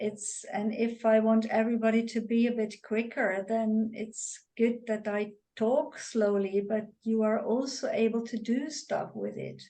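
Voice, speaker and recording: Her pitch is fairly high, yet the tone is dark and mellow. The woman speaks very slowly with monotone, flat intonation. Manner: talks very slowly; takes time speaking.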